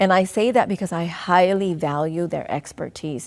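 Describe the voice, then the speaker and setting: This woman speaks with a Southeast Asian accent at a moderate pace, her pitch fairly low. The recording is very clean, with a silent background. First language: Hmong. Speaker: school district superintendent. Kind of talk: interview. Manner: halting.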